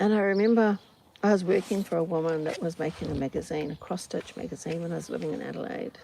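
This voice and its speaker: Calm in tone, a woman with a New Zealand accent talks at a fairly quick pace and fairly low pitch over noticeable background noise. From New Zealand, Auckland. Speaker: podcaster. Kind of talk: casual monologue. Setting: outdoors on farm doorstep.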